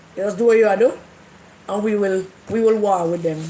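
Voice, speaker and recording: A woman's fairly quick speech, her intonation fairly even, carries audible room echo over noticeable background noise. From Jamaica. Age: 70s. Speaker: livestream host. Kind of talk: casual livestream chat.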